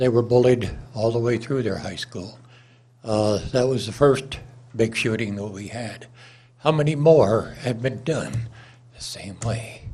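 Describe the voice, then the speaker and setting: A man with a medium-pitched, somewhat breathy voice and a dark, mellow tone speaks at a fairly slow pace, leaving long, frequent pauses. His pitch varies in an ordinary way while his loudness swings widely, and the room echo is audible. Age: 80s+. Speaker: public commenter, licensed firearms dealer. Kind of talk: public comment at city council. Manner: halting with frequent uh.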